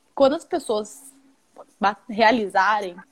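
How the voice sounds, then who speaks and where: Fairly high in pitch, a woman's voice moves with ordinary pitch variation. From Mato Grosso do Sul, Brazil. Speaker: investor relations at an investment firm. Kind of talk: live-stream interview.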